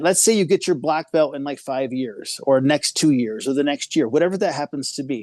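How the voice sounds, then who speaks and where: Speaking at a fairly quick pace with hardly any pauses, a man with a fairly high pitch uses lively intonation and big swings in loudness, recorded with a dry, close sound with no echo against a quiet background. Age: 50s. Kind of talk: casual interview chat. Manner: animated.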